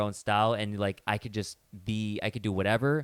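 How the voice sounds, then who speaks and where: The man speaks at a medium pitch with fairly even intonation, in a dry, close sound with no echo. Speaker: podcast host. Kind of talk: casual chat. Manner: fast.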